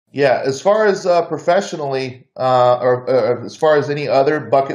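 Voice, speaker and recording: His pitch shifts in an ordinary way. The man has an American accent. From US South. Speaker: author and back injury survivor. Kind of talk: podcast interview. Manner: casual, halting with repetitions.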